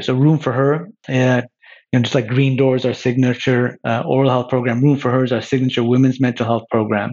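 A man with a Canadian accent talks at a fairly quick pace, his medium pitch held fairly even. He has an ordinary speaking voice. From Quebec, Montreal. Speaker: insurance company CEO. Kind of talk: interview.

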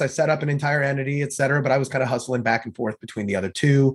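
Very fast and somewhat breathy, a man with an American accent speaks at medium pitch. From US Midwest (St. Louis). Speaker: entrepreneur and marketing consultant. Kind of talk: podcast interview.

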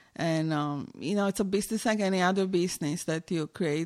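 With a Romanian accent, a woman speaks at a fairly quick pace. The recording is very clean and the background silent. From Romania, Timișoara. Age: 40s. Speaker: visual artist. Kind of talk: interview.

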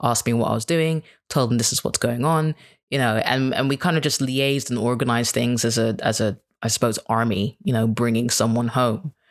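Recorded very cleanly, with a silent background and a dry, close sound with no echo, a man with an American accent speaks at a moderate pace and a medium pitch with fairly even intonation. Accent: British-leaning with slight American twang. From Kenya. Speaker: suicide bereavement guest sharing personal story. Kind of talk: casual interview chat, personal storytelling.

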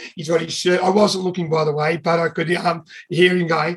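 Intonation stays fairly even as a man speaks with an Australian accent. His pitch is high. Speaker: triathlon announcer. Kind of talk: anecdote. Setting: video call.

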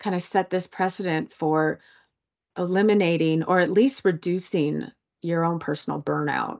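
Over a quiet background, a woman talks at a fairly slow pace with a fairly low pitch, an unremarkable speaking voice. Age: 40s. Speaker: writer and sober coach. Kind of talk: interview.

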